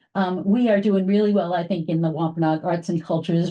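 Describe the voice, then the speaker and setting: A woman speaks at a fairly quick pace with a fairly low pitch and ordinary pitch variation. Her tone is dark and mellow, and somewhat breathy. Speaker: library staff programmer. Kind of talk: meeting report. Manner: fast; casual with many fillers.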